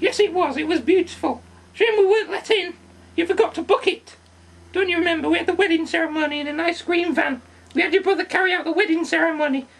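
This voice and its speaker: The delivery comes at a very fast pace in a cartoonish character voice. Its pitch is extremely high. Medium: puppet.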